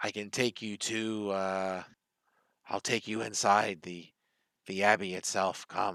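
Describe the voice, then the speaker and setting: In a very clean recording with a silent background, a gruff, put-on character voice speaks at a fairly slow pace, monotone and flat, with long, frequent pauses. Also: man, fairly low pitch for a man. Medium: actual play. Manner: halting, broken speech.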